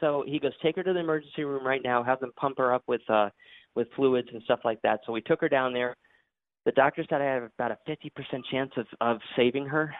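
With an ordinary speaking voice, a man talks at a fairly quick pace in a medium pitch, keeping his intonation fairly even. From Connecticut, then Florida from 1990. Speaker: podcast host and interview guest. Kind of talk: interview.

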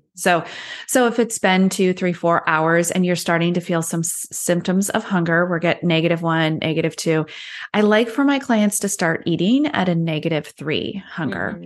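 An unremarkable speaking voice from a woman, fairly low in pitch, with ordinary pitch variation. She moves at a moderate pace over a quiet background. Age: 40s. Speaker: health and weight loss coach. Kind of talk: interview conversation.

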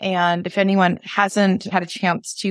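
In a dry, close recording with no echo, a woman with an American accent speaks in a flat monotone. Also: very clean recording, silent background. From Maine, US. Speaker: podcast host. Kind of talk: casual interview chat.

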